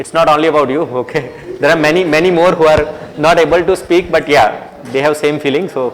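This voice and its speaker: A man with an Indian accent talks fairly quickly at a fairly high pitch with fairly even intonation, amid noticeable background noise. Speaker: university lecturer. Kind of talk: lecture.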